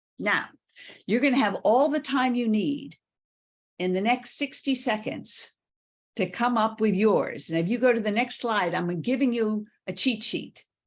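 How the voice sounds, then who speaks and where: At a fairly slow pace, a woman speaks in a somewhat breathy voice with a fairly high pitch and ordinary pitch variation, on a very clean recording with a silent background. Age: 70s. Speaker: workshop leader and former business executive. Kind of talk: interactive workshop presentation.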